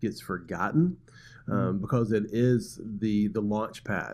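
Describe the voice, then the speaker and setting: With a quiet background, the talking proceeds at a medium speed. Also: man. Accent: Southern US. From US South, Birmingham, Alabama. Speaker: pastor. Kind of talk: casual chat.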